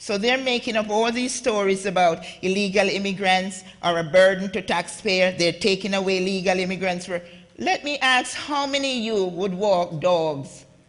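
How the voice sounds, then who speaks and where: With a Jamaican accent, a woman speaks in an animated tone at a moderate pace. Her pitch is medium for a woman. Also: ordinary pitch variation. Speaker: immigrant advocate and author, conference panelist. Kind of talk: conference talk. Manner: animated, impassioned.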